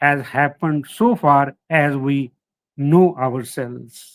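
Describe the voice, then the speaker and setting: Speaking at a very slow pace, a man with a Punjabi accent uses ordinary pitch variation. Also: dry, close sound with no echo. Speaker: historian, professor. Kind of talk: lecture. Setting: online lecture. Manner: halting, with fillers.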